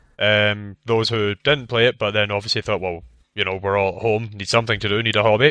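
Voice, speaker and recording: A man's fairly low-pitched voice with a Scottish accent. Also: fairly even intonation, fairly quick pace. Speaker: video game podcast co-host. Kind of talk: casual chat.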